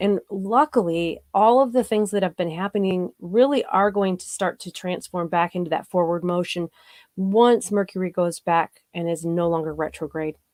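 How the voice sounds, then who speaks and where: In a normal speaking voice, a woman talks at a moderate pace and medium pitch with hardly any pauses and ordinary pitch variation, in a dry, close sound with no echo. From US Midwest, south of Chicago. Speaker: paranormal show host and psychic reader. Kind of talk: live-stream chat answering viewer comments.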